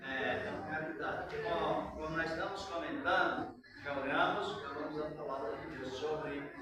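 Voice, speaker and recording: A man's fairly high voice comes through noticeable background noise and an audible echo from the room. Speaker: pastor. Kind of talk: sermon. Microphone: far from the microphone.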